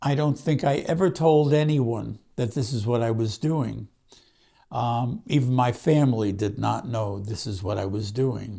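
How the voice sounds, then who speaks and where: A man with a Brooklyn accent talks at a fairly slow pace in a somewhat breathy voice with a dark, mellow tone. His pitch is medium, with ordinary pitch variation. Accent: Brooklyn New York. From Brooklyn, New York. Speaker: author. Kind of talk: personal storytelling monologue. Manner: halting, with fillers.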